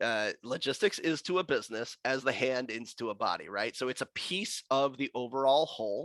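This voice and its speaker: A man talks in a normal speaking voice at a medium pitch. The sound is dry and close with no echo, on a very clean recording with a silent background. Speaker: logistics executive and guest speaker. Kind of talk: presentation to professional chapter.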